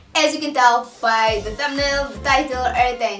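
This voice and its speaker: With clear music in the background and audible room echo, a woman speaks at a moderate pace in a high pitch. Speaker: vlogger. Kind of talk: casual vlog chat. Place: home room. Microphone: camera far.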